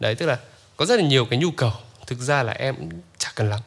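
A man speaks with a bright, sharp tone and ordinary pitch variation. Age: 20s. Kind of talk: casual chat.

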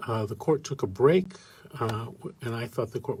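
A man is speaking. His voice is somewhat breathy. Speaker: radio host. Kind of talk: live call-in show.

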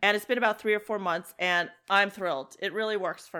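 A woman speaks at a medium pitch with ordinary pitch variation, in a plain, everyday voice. The recording is very clean, with a silent background. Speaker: podcast host. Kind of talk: casual chat.

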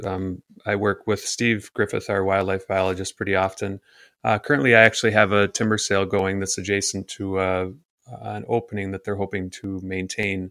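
Very clean, with a silent background, the recording captures a man with an Upper Midwest accent speaking in a fairly low pitch, his bright, sharp tone delivered with monotone, flat intonation. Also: fairly quick pace, dry, close sound with no echo. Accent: Upper Midwest American (Michigan). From northern Michigan (Gaylord). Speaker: forester. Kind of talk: interview. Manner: hesitant, many fillers.

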